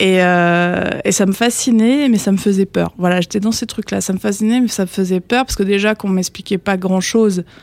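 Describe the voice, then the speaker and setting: A woman talks at a moderate pace in a medium pitch. The sound is dry and close, with no echo. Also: fairly even intonation, hardly any pauses. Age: 30s. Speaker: cartomancer. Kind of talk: casual interview chat. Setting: studio. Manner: hesitant, many fillers.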